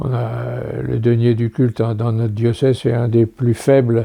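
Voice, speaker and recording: A man's dark, mellow tone at a medium pitch, delivered at a moderate pace. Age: 90s. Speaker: priest. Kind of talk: interview reminiscence. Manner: halting.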